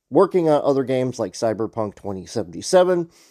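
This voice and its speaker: A man's dark, mellow tone with lively intonation, dry and close with no echo, on a very clean recording with a silent background. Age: 40s. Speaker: gaming podcast host. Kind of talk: solo podcast rant. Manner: casual, conversational.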